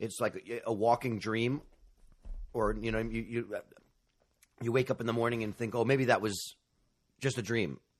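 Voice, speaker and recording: Speaking at a moderate pace with long, frequent pauses, a man uses a medium pitch and monotone, flat intonation. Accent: American. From New York City. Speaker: podcast host. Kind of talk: interview about grief. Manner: halting.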